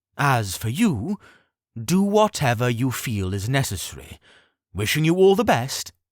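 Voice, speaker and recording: A man's put-on character voice at medium pitch with very wide pitch swings, on a very clean recording with a silent background. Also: moderate pace. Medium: read story. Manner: charming, diplomatic.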